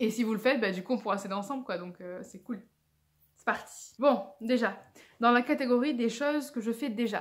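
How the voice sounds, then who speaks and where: Moderate pace, ordinary pitch variation. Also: woman. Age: 20s. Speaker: video blogger. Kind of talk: casual vlog. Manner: halting.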